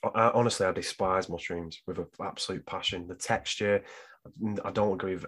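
A man talks with a British accent at a fairly quick pace. His pitch sits fairly low. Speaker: guest co-host. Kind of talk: casual banter. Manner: hyped, energetic.

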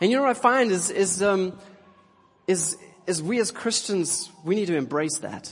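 A South African accent at a moderate pace, ordinary pitch variation, and noticeable background noise. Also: man, high pitch for a man. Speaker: pastor. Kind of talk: sermon. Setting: church.

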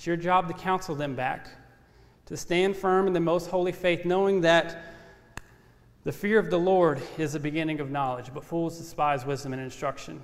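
With a Louisiana accent, a man speaks at a high pitch and a moderate pace, his intonation fairly even, amid audible room echo. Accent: Southern US (Louisiana). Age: 30s. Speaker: ministry intern preaching. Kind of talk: sermon. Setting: church. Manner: measured, respectful tone.

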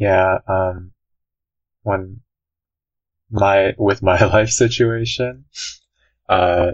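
A man speaks in a monotone with flat intonation. His voice is somewhat breathy. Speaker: university student. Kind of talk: casual chat.

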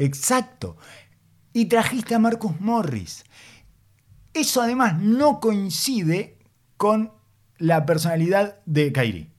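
A man with a Uruguayan accent speaks at a high pitch and a very slow pace, with lively intonation and long, frequent pauses. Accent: Rioplatense Spanish (Uruguayan). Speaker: basketball podcast host. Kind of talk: casual chat.

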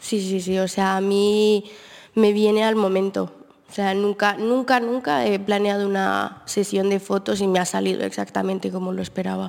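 A woman with a plain, everyday voice speaks at medium pitch and a moderate pace with fairly even intonation. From Colombia. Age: 20s. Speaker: photographer. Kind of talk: interview chat. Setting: auditorium with live audience.

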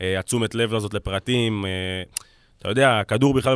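A man talks at a very fast pace with fairly even intonation, in a dry, close sound with no echo. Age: 20s. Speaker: football scout and analyst. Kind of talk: casual chat. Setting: studio.

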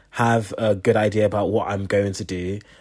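The man speaks at a fairly low pitch. His delivery is monotone and flat. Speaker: junior doctor. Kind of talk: casual chat.

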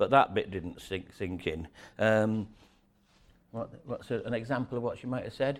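Male voice with a Yorkshire accent, medium pitch, ordinary pitch variation and a moderate pace, on a very clean recording with a silent background. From northern England, York (Yorkshire). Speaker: storyteller. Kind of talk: storytelling talk to an audience. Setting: stage with audience. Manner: halting, many fillers and repeats.

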